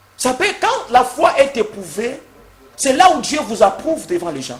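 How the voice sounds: In a room with audible echo, a man speaks at a moderate pace in an extremely high pitch, making big pitch swings.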